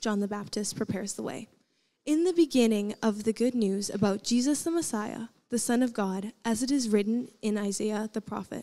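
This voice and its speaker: A woman's dark, mellow tone with ordinary pitch variation. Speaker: student scripture reader. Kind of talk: scripture reading. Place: stage. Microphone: handheld.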